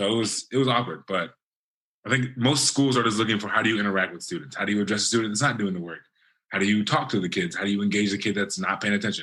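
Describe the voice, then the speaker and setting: A man's fairly low, bright, sharp voice at a very fast pace with ordinary pitch variation. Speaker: teacher. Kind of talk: casual chat. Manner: animated.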